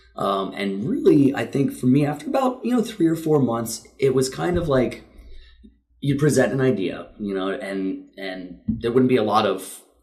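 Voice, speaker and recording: A man speaks at medium pitch with lively intonation. Audible room echo surrounds the voice. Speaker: CrossFit gym owner and coach. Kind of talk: casual interview chat. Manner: fast; energetic.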